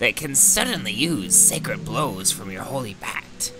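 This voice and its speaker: Using a put-on character voice, a man talks at a moderate pace over clear background noise. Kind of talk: theatrical old-fashioned speech. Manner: pompous, archaic, condescending.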